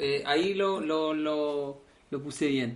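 A man talks with a Chilean accent. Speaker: podcast host. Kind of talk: casual chat.

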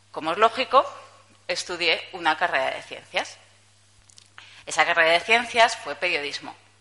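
A woman with a fairly low pitch and a bright, sharp tone speaks at a moderate pace with lively intonation. Her loudness swings widely, and she takes long, frequent pauses. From Spain, Zaragoza (Aragon). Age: 30s. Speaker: journalist giving a conference talk. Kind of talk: conference talk. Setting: stage with audience. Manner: casual, with hesitations.

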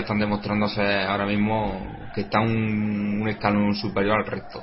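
A man's fairly low voice with music in the background. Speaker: football match commentator. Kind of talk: live sports commentary and analysis.

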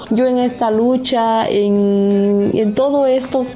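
Amid noticeable background noise and audible room echo, a woman talks at a fairly high pitch with fairly even intonation. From Mexico, Oaxaca coast. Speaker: community land defender. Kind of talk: radio interview.

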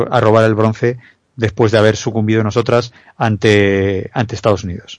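A man at a moderate pace and fairly low pitch, over a quiet background. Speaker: basketball analyst. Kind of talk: sports analysis chat. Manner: halting.

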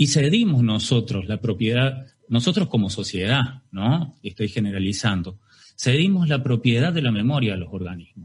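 This man talks at a moderate pace with a medium pitch. His intonation is lively and his voice somewhat breathy. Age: 40s. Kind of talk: testimony. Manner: halting.

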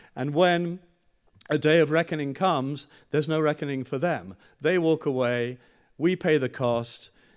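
A man talks at a moderate pace in a fairly high voice with ordinary pitch variation. It is a normal speaking voice. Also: quiet background. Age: 60s. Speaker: journalist and speaker. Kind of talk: public lecture.

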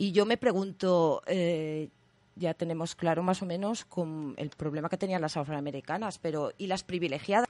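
In an ordinary speaking voice, a woman talks at a moderate pace with a fairly low pitch and ordinary pitch variation, the sound dry and close with no echo and the background quiet. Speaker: community radio host. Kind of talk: radio magazine show.

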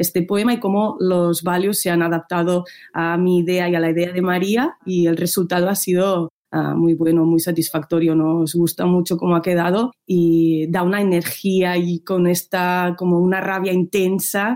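A woman speaks at a fairly low pitch and a fairly slow pace, with hardly any pauses. Her tone is dark and mellow, her intonation flat and monotone, and her loudness very even. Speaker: musician. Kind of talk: interview answers. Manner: hesitant, thoughtful.

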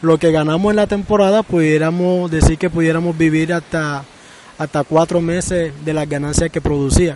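With noticeable background noise behind him, a man speaks at a moderate pace in a fairly high pitch, his intonation fairly even. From Colombian Caribbean coast, Sincelejo. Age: 40s. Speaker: artisan and fisherman. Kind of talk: interview testimony.

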